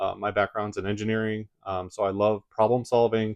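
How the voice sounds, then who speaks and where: With a Midwestern accent and a fairly low pitch, a man speaks in a dry, close sound with no echo against a quiet background. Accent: Midwest American. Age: 40s. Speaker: engineer and YouTuber. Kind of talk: casual vlog talk.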